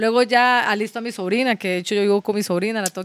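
This woman speaks at a very fast pace with ordinary pitch variation. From Nicaragua (Managua), raised in Costa Rica. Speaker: professional boxer. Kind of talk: casual chat.

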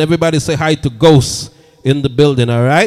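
Warm in tone, a man speaks fairly quickly at a fairly high pitch with ordinary pitch variation. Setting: live-streamed online radio show. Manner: upbeat, energetic, fast-talking hype man with Jamaican patois flourishes; repetitive catchphrases and warm, chatty crowd engagement.

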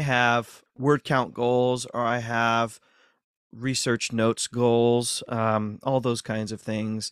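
In a dry, close sound with no echo, a man with an American accent speaks fairly slowly at medium pitch on a very clean recording with a silent background. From US Midwest, north central Ohio. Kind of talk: interview.

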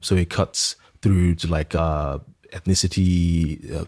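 Very deep and low, a man's voice holds a monotone, flat intonation. The recording is very clean with a silent background. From Nigeria. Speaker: architect. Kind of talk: interview.

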